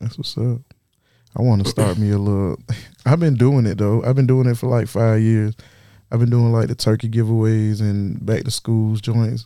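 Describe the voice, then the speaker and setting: A man of medium pitch speaks with an American accent in a dark, mellow tone. His pace is moderate and his intonation fairly even. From South Carolina. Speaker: rapper. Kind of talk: casual chat.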